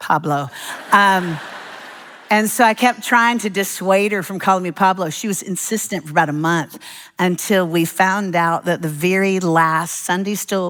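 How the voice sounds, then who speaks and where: At a moderate pace, a woman speaks in an animated tone with a fairly low pitch and ordinary pitch variation. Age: 60s. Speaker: preacher. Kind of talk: sermon.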